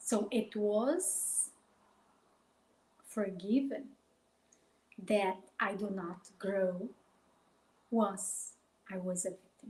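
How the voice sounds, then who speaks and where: A somewhat breathy woman with a Brazilian accent talks at a very slow pace, leaving long, frequent pauses, with ordinary pitch variation and big swings in loudness. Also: medium pitch for a woman. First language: Portuguese. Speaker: life coach. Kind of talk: live stream talk. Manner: halting.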